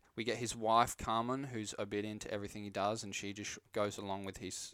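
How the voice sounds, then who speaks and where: Fairly quick speech from a man with an Australian accent, fairly low in pitch, on a very clean recording with a silent background. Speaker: film podcast host. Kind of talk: casual chat. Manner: animated.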